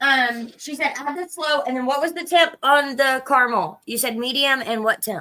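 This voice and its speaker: With a raised, projected voice and a bright, sharp tone, a woman speaks at a high pitch and a moderate pace, using ordinary pitch variation and hardly any pauses. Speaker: cooking livestream host. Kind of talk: casual chat. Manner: loud.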